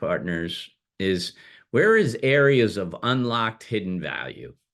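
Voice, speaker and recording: Against a quiet background, a man with an ordinary speaking voice of medium pitch talks with lively intonation. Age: 60s. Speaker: business broker CEO hosting a webinar. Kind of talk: webinar presentation. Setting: online webinar.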